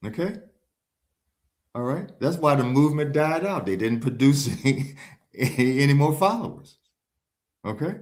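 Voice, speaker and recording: Speaking at a moderate pace with lively intonation and long, frequent pauses, a man with a fairly high voice is heard in a room with audible echo. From Chicago, US. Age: 60s. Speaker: religious movement follower and author. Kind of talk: interview. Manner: emphatic.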